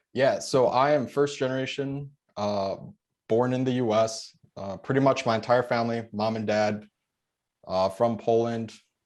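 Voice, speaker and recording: A man with a Chicago accent, medium pitch, moderate pace and fairly even intonation, against a quiet background. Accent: Chicago American. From Chicago suburbs, US. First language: Polish. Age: 20s. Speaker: military veteran and real estate investor. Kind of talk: podcast interview. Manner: casual.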